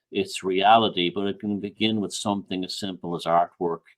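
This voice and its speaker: This man has a fairly low pitch and speaks with an Irish accent. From Ireland. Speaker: author and researcher. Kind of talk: podcast interview.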